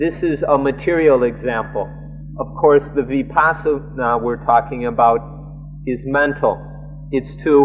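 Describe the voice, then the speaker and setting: Faint music plays in the background. The voice moves at a fairly slow pace with fairly even intonation. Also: man. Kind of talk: live translation of a sermon. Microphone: old recording.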